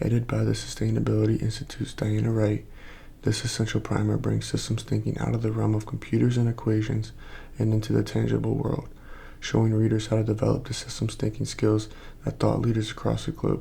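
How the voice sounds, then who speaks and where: Soft-spoken and somewhat breathy, a man with a very deep, low pitch and a dark, mellow tone talks at a very fast pace, his pitch swinging very widely while his loudness stays very even. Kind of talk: ASMR book cover reading.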